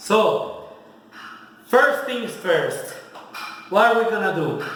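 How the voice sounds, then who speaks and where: A man speaks in a high voice. The recording carries audible room echo and noticeable background noise. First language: Spanish. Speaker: home cook, video host. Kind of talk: cooking tutorial. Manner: casual, mixing English and Spanish.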